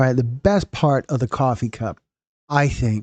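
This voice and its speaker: Somewhat breathy, a man of medium pitch speaks with a dry, close sound with no echo against a quiet background. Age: 60s. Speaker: documentary channel host. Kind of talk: live stream chat with viewers. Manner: casual, rambling with repetitions.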